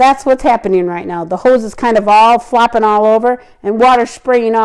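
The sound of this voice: A reading voice, unforced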